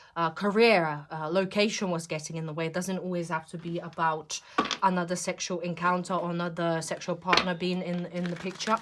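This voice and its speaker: At a fairly quick pace, a woman with a fairly low pitch speaks in a monotone, flat intonation over noticeable background noise. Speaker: tarot reader. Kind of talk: tarot reading to camera.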